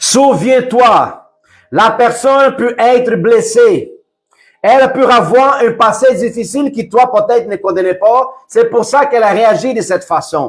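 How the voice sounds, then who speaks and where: A loud man speaks at a very slow pace in an extremely high pitch, with ordinary pitch variation and music in the background. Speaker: preacher. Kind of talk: sermon. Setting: livestream. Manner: softer, calm at times.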